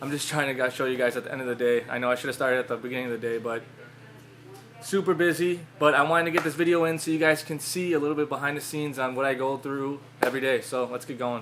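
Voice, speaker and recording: Fairly high in pitch, this man talks at a very fast pace with fairly even intonation. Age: 20s. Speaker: ecommerce business owner. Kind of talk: casual vlog talk to camera. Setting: warehouse. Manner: casual, informal.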